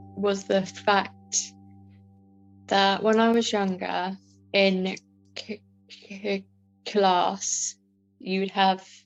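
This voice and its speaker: Music plays in the background. A woman with a southern English accent speaks at a very slow pace. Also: long, frequent pauses. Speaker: customer assistant who stammers. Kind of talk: personal testimony. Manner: stammering; halting with many fillers.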